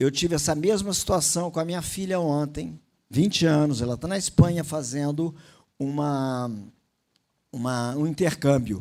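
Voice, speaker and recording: A man with a fairly high voice and ordinary pitch variation talks fairly slowly, pausing long and often. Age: 60s. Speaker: motivational speaker, former naval officer. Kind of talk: motivational talk. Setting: stage with audience.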